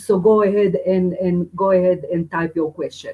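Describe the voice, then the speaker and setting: A woman talks at a moderate pace with a non-native accent. Her tone is dark and mellow. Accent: foreign. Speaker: spiritual teacher and medium. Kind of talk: webinar teaching. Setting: live webinar.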